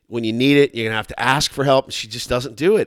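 An American-accented man with an ordinary speaking voice talks at a medium pitch with ordinary pitch variation, in a very clean recording with a silent background, dry and close with no echo. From Texas. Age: 40s. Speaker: radio host. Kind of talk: casual chat.

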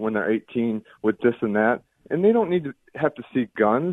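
It's a plain, everyday voice from a man with an American accent, pitched at a medium level. He talks at a moderate pace with lively intonation. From Indiana. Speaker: caller. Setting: phone call.

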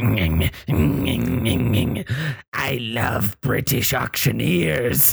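In a put-on character voice, a man speaks very slowly, raspy and fairly low-pitched. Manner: comical, acted out.

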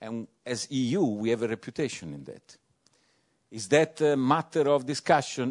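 A man speaks in a plain, everyday voice at a medium pitch and fairly slow pace, with lively intonation. The background is quiet and the sound is dry and close with no echo. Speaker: European Commission official. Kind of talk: panel discussion.

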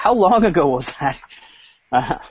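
With lively intonation, an ordinary speaking voice goes along at a fairly brisk clip. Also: man. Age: 30s. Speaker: entertainment journalist. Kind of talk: casual chat. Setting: video call.

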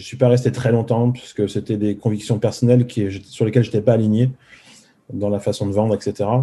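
This man's fairly quick speech has a dark, mellow tone, a medium pitch, a somewhat breathy quality and monotone, flat intonation. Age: 30s. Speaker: former car salesman turned coder, YouTuber. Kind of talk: casual interview.

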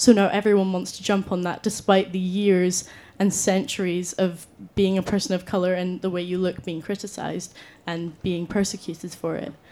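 A woman speaks at a medium pitch with flat, monotone intonation in a very clean recording against a silent background. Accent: Scottish. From Scotland, Scottish Borders. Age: young. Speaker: university student, debate panelist. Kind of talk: debate speech.

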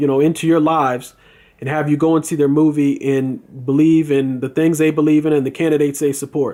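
This man's voice sits fairly high in pitch, with a dark, mellow tone, on a very clean recording with a silent background. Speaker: video blogger. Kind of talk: angry rant. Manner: indignant, opinionated; rambling, filler-heavy.

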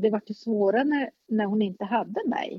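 A woman talks at a fairly slow pace in a plain, everyday voice, fairly high in pitch with ordinary pitch variation. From northern Sweden, Norrbotten. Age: 50s. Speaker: relative of a mentally ill parent. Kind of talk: interview.

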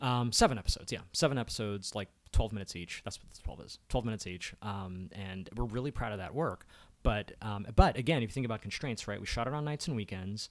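On a very clean recording with a silent background, a man with an American accent speaks very fast at a fairly low pitch, with big swings in loudness. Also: ordinary pitch variation. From Maryland, Baltimore County. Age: 40s. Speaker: filmmaker and content strategist. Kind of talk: casual chat.

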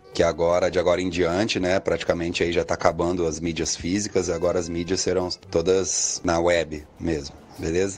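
A man with a very deep, low voice, a fairly quick pace and flat, monotone delivery, plus noticeable background noise. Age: 30s. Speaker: musician. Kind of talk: interview.

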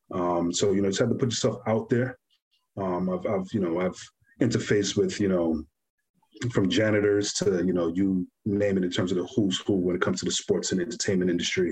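Fairly quick, fairly low male speech with a New York accent and fairly even intonation. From New York (Brooklyn), Guyanese family. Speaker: clothing brand founder. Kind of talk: casual interview.

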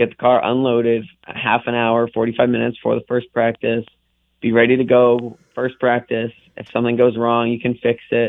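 With a New England accent, a man talks at a moderate pace in a medium pitch, his intonation flat and monotone. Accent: New England American. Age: 20s. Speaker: racing driver. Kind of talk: radio interview. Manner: halting.

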